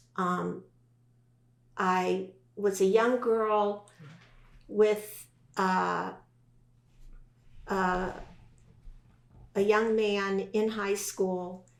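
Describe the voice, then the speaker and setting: Amid audible room echo, a woman with a medium pitch speaks at a very slow pace in a monotone, flat intonation, taking long, frequent pauses. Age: 60s. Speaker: podcast guest. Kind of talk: testimony.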